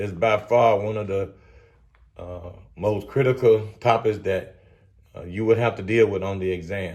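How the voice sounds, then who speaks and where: A man speaks at a fairly slow pace with a Southern US accent. His tone is energetic and somewhat breathy. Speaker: respiratory therapy exam tutor. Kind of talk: educational lecture at whiteboard. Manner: casual, energetic.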